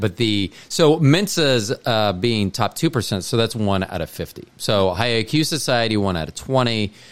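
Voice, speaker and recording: This man has an ordinary speaking voice, fairly low in pitch, with lively intonation at a moderate pace. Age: 50s. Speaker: podcast host. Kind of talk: casual chat.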